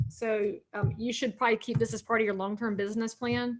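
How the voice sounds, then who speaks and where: A woman speaks at a fairly quick pace with a Southern US accent. Her pitch sits fairly high. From North Carolina. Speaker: realtor and speaker. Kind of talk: seminar talk. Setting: video call. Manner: animated.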